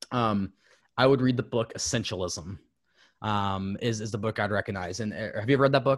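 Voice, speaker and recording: Against a quiet background, a man with an American accent talks at a fairly quick pace, his fairly low pitch moving with ordinary variation. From Southern Ohio / West Virginia. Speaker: fitness coach. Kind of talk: casual chat. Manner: halting.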